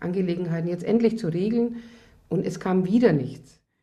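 Dark, mellow and somewhat breathy, a woman's voice with ordinary pitch variation. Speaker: affected divorced woman. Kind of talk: interview testimony.

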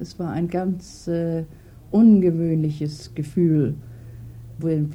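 A woman talks in a dark, mellow tone that is somewhat breathy. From Germany (Hamburg). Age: old. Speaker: retired cook. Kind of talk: interview.

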